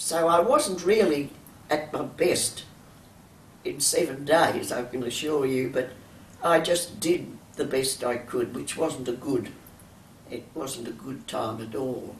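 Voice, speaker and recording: Very slow, with long, frequent pauses, a woman's very deep, low voice in an Australian accent amid audible room echo. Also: ordinary pitch variation. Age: 80s+. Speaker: champion masters swimmer. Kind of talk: interview. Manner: halting.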